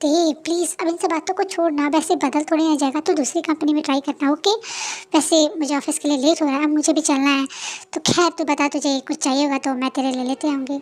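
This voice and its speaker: Using a put-on character voice, a woman talks at a very fast pace in a high pitch with fairly even intonation. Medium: read story.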